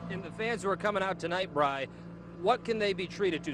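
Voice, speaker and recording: A man with an American accent talks at a high pitch in an upbeat tone, with ordinary pitch variation. He speaks at a fairly quick pace over noticeable background noise. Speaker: TV news reporter. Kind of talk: live TV interview.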